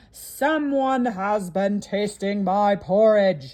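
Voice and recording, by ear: This is a put-on character voice, gruff in sound. It moves at a very slow pace. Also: female-sounding voice, medium pitch for a woman.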